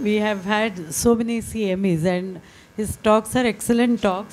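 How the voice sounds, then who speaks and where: Light background noise sits behind a woman speaking at a moderate pace. Her intonation stays fairly even. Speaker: speaker. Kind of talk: speaker introduction. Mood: warm, smiling. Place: hall. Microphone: handheld.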